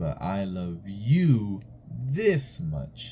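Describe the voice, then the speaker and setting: A man's put-on character voice, fairly low in pitch, with very wide pitch swings. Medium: read story. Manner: gentle, affectionate.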